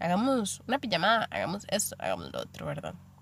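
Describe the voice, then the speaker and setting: In a Costa Rican accent, a woman talks at a fairly quick pace. Her voice shows vocal fry. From Costa Rica, Limón. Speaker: podcast host. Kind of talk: casual monologue.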